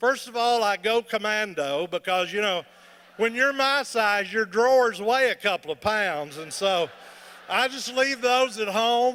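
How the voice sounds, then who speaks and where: In a raised, projected voice, a man speaks fairly slowly at a high pitch, his tone bright, sharp and animated, with ordinary pitch variation. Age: 60s. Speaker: comedian. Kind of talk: stand-up. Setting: stage with audience.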